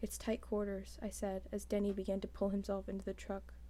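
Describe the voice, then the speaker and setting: A soft-spoken woman at a fairly quick pace. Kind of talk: ASMR book reading.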